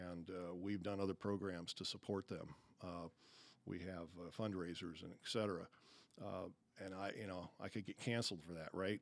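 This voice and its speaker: A man with a very deep, low voice speaks in a monotone, flat way. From Arizona. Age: 60s. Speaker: business owner, CEO. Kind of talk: podcast interview. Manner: hesitant, many fillers.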